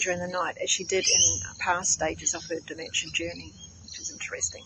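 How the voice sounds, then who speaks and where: Speech moves at a fairly quick pace. There is noticeable background noise. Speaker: nurse and natural therapies practitioner. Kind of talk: product testimonial.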